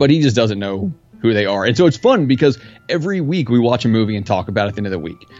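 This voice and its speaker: Music sounds behind this man. He speaks very fast, with lively intonation. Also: medium pitch for a man. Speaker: podcast host, guest. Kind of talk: casual chat.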